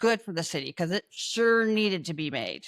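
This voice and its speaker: With a slight Canadian accent, a woman speaks at a fairly high pitch with lively intonation on a very clean recording with a silent background. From Canada. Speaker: panel commentator. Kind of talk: casual chat.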